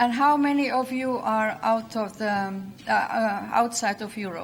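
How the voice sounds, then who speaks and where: With a Finnish accent, a woman speaks at a fairly slow pace and fairly high pitch, her pitch varying normally amid audible room echo. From Finland, Lapland. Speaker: conference speaker, regional branding manager. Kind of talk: conference talk. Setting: stage with audience. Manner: halting, many fillers.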